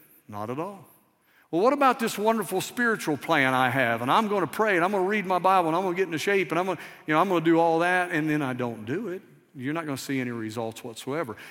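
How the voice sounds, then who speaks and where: Speaking at a very fast pace, a man uses a Southern US accent. His pitch is high and swings very widely. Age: 50s. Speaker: missions pastor. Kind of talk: sermon. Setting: church. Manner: conversational, interactive with audience.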